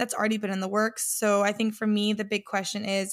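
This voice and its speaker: A woman talks at a fairly quick pace and medium pitch. The recording is very clean, with a silent background. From Mexico, partly Scotland. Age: 20s. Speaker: podcast co-host, fintech worker. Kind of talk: casual chat.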